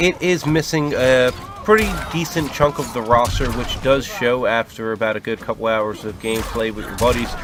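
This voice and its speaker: Through noticeable background noise, a man talks at a moderate pace with ordinary pitch variation. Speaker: video game reviewer. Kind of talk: video review. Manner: stutter; casual, hesitant with fillers.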